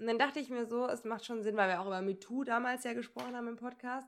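A woman talks very fast, her pitch varying in an ordinary way. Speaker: podcast co-host. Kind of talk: casual chat. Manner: laughing often.

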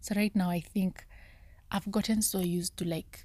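A soft-spoken woman whispers at a fairly slow pace.

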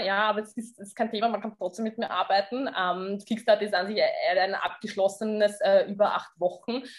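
A woman's voice over noticeable background noise. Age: 30s. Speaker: fitness coach. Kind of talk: interview.

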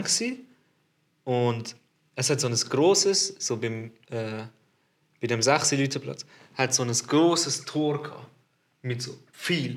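A man speaks very slowly at a medium pitch, with ordinary pitch variation and long, frequent pauses. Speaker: podcast host. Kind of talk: casual chat. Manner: animated, lots of laughter.

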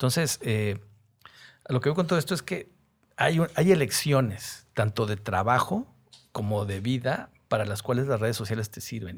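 A man talks at a moderate pace, medium in pitch and somewhat breathy. His intonation is lively, and the recording is very clean with a silent background. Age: 50s. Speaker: advertising copywriter. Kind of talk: casual interview chat.

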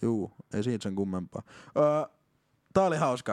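The intonation is lively, and the sound is dry and close with no echo, in a very clean recording with a silent background. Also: man. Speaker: podcast co-host. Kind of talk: casual chat.

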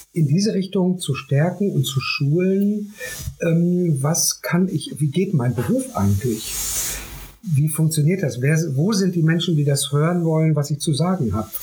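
Over noticeable background noise, a man with a high pitch speaks at a fairly slow pace with lively intonation and very even loudness. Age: 50s. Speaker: artist and youth project founder. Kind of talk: interview.

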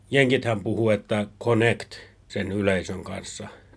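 At a fairly slow pace, a man talks in a normal speaking voice at medium pitch. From Finland. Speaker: podcast host. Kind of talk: casual chat.

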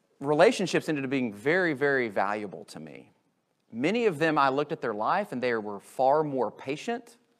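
A man with an American accent and a plain, everyday voice, fairly high in pitch, at a moderate pace with lively intonation and big swings in loudness. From US. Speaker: pastor. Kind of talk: sermon. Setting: church.

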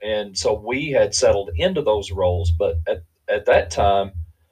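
A man with an Appalachian accent speaks at a moderate pace. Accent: Appalachian Kentucky. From US South, Eastern Kentucky. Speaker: bereaved father. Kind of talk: testimony.

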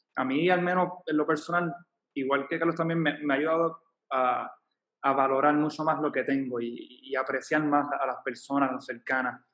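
An ordinary speaking voice from a man, fairly high in pitch, at a moderate pace with fairly even intonation. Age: 30s. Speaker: volunteer. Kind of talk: casual chat.

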